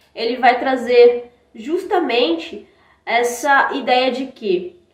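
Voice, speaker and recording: A woman with a Brazilian accent speaks in a high pitch with lively intonation. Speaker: academic presenter. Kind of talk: conference presentation.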